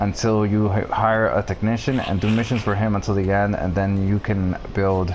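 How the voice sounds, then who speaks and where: A man talks at a fairly low pitch with monotone, flat intonation. Noticeable background noise runs behind him. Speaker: video game streamer. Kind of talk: live gameplay stream, answering chat. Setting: live stream. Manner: fast.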